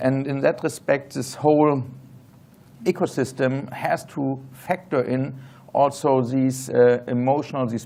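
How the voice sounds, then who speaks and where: A man with a German accent talks at a moderate pace and medium pitch with fairly even intonation. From Germany. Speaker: tech entrepreneur, panelist. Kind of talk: panel discussion.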